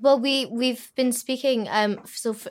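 A woman with a Scottish accent at a moderate pace, ordinary pitch variation, on a very clean recording with a silent background. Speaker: singer in a band. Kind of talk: casual chat. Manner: halting, fillers.

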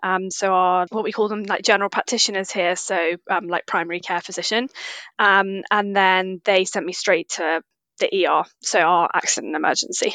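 Over a quiet background, a woman with a British accent speaks at a medium pitch and moderate pace in a bright, sharp tone with monotone, flat intonation, the sound dry and close with no echo. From UK. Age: 30s. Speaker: nutritional therapist. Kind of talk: interview.

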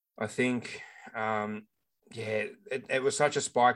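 Very clean recording with a silent background of a man with an Australian accent. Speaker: fantasy football podcast co-host. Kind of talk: casual chat. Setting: home recording with new microphone.

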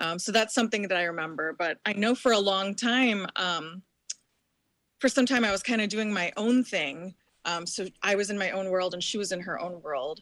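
A woman with a normal speaking voice talks at a moderate pace, her pitch medium and its variation ordinary. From US, New Jersey, Indian immigrant family. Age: 40s. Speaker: former model, recovering addict. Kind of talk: interview, personal story.

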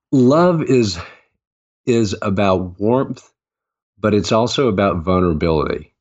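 With a Southern US accent, a man with a fairly low pitch speaks at a fairly slow pace with lively intonation, very even loudness and long, frequent pauses. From US South, Augusta, Georgia. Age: 50s. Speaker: author and former mayor. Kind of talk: interview.

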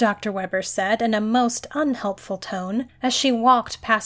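Ordinary pitch variation shows up in an unforced reading voice.

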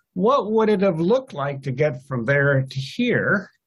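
With a somewhat breathy voice, a man speaks at a fairly slow pace. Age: old. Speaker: economic historian, professor. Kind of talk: interview.

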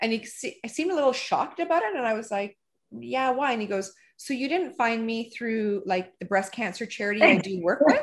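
Against a quiet background, a woman with an ordinary speaking voice talks at a fairly high pitch with lively intonation. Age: 40s. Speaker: podcast host and salon owner. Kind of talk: casual interview. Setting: video call.

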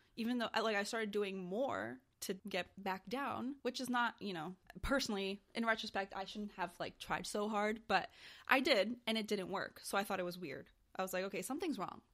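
Speaking at a fairly quick pace, a woman has an ordinary speaking voice with medium pitch and ordinary pitch variation. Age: 20s. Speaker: podcast co-host. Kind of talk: casual chat.

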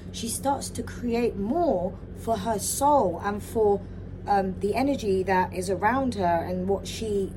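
A woman speaks at a fairly slow pace, her pitch in the medium range with ordinary variation. The room echo is audible, and there is noticeable background noise. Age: 40s. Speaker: spiritual wellness podcaster. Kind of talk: solo podcast monologue.

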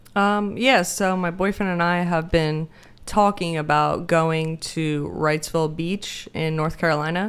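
With an American accent, a woman speaks in a normal speaking voice at a fairly low pitch and fairly slow pace, her intonation fairly even. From Denmark, then back in the US from age nine. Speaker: podcast guest, friend of the host. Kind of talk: casual chat.

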